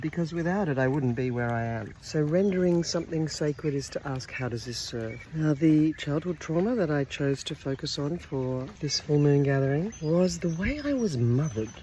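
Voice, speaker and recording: With an Australian accent and very deep, low pitch, a woman speaks at a moderate pace with lively intonation and hardly any pauses. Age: 60s. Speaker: women's circle facilitator. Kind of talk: personal vlog. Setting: outdoors.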